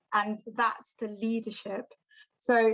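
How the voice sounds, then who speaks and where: Monotone, flat intonation marks a woman speaking at a fairly slow pace. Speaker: lightning talk speaker. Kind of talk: presentation; casual chat. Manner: confident.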